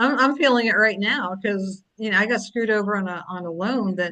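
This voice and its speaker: A woman talks fairly quickly in a plain, everyday voice with an American accent. Her pitch is medium, with ordinary pitch variation. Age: 60s. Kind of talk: casual chat.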